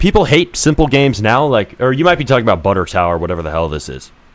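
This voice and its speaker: Very fast and full of very wide pitch swings, a man's medium-pitched voice comes through with vocal fry. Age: 20s. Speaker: game developer streamer. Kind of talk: live stream commentary. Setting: live stream. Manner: animated.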